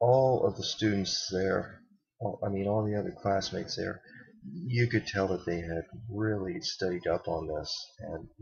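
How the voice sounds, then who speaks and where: A man speaks at a moderate pace in a fairly low pitch. His voice is somewhat breathy, with ordinary pitch variation. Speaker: college student. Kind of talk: casual vlog talk to camera. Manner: stuttering, hesitant.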